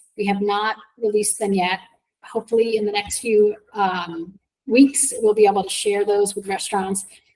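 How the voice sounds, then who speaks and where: A woman with a medium pitch speaks in a monotone, flat intonation. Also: moderate pace. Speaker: transportation agency director. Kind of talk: presentation to advisory council.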